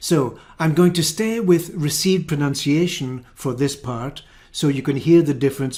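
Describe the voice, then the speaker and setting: Speaking in a Scottish accent, a man has a fairly high pitch and a dark, mellow tone. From Scotland. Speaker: English teacher. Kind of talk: tutorial. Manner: clear, deliberate.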